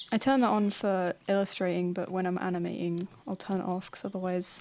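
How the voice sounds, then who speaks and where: Mumbling speech from a woman at a medium pitch in a southern English accent, at a fairly quick pace, with noticeable background noise. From southern England. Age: 20s. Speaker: animator and art student. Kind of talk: live stream Q&A. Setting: live stream while drawing. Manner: casual, halting.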